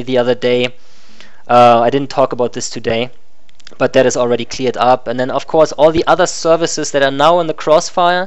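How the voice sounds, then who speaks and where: A man with a German accent and ordinary pitch variation, against noticeable background noise. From Germany. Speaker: live streamer. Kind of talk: live stream monologue. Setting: live stream with animated puppet avatar. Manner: casual, some hesitations.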